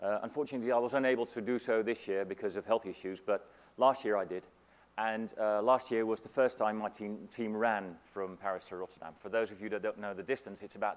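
With ordinary pitch variation, a man moves through his words at a fairly quick pace. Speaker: keynote speaker. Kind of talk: conference keynote. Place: hall. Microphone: lapel.

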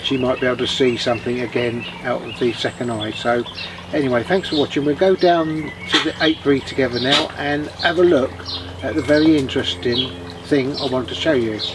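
A man moves at a fairly quick pace, his pitch varying in an ordinary way, with noticeable background noise underneath. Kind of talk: casual vlog chat. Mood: gentle, sad but positive. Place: garden. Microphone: camera far.

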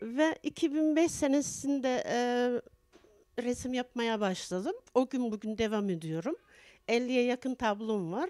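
A woman's very slow, high-pitched voice with a dark, mellow tone and lively intonation, over a quiet background. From Turkey, Tokat province; Turkey. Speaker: poet and painter, association head; poet. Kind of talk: interview. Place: home room. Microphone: handheld.

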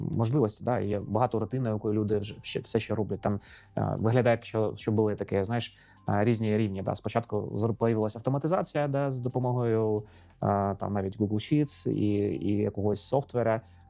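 Music plays in the background behind a man's fairly low-pitched voice. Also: ordinary pitch variation, moderate pace. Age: 40s. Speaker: podcast host, IT entrepreneur. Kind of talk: casual interview. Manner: halting.

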